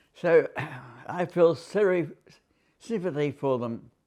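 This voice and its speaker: A fairly high-pitched man with an Australian accent, against a quiet background. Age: 80s+. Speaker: war veteran. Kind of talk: interview answer.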